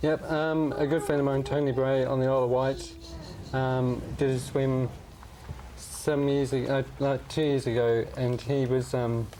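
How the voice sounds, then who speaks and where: Monotone, flat intonation and very even loudness mark this fairly slow delivery, heard over noticeable background noise. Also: man, medium pitch for a man. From northern England, Barnsley. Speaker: charity fundraiser living with motor neurone disease. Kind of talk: TV interview. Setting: TV studio. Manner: halting.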